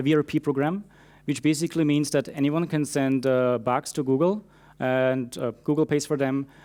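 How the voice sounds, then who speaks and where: In a very clean recording with a silent background, a fairly high-pitched man with a non-native accent speaks at a moderate pace with fairly even intonation. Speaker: security engineer. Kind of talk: conference talk. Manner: frequent fillers (uh, um).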